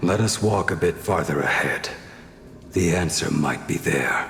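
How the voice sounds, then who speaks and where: Someone performs a put-on character voice at a moderate pace, with a slight echo and clearly audible background noise. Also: man, very deep, low pitch for a man. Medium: video game. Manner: formal, calm.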